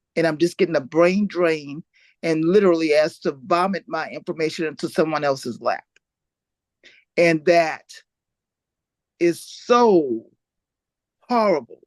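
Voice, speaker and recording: The pace is fairly slow. Long pauses come often. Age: 60s. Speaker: panelist. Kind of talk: panel discussion. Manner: animated.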